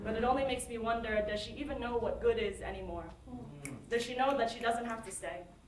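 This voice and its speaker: Noticeable background noise runs through the clip. A woman talks over it at a very fast pace. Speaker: spoken word poet. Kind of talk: spoken word poetry performance. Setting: live open mic stage.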